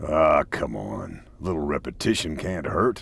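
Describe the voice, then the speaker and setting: A man's put-on character voice, raspy and very deep, at a moderate pace. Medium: video game. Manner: dry, wry.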